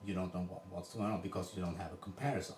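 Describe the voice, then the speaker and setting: A man with a non-native accent over noticeable background noise. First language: Swedish. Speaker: coach demonstrating a drill. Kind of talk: coaching demonstration. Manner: halting, with repetitions.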